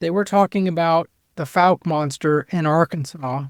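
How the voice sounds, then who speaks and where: Here a man talks in a high pitch with fairly even intonation. The recording is very clean, with a silent background and a dry, close sound with no echo. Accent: American. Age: 60s. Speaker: bigfoot researcher. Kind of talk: podcast interview.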